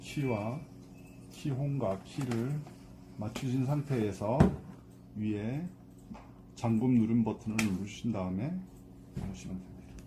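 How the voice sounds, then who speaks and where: A man speaks at a medium pitch with ordinary pitch variation. His pace is very slow, with long, frequent pauses. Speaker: amateur voice actor. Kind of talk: product how-to instructions. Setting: outdoors with traffic noise.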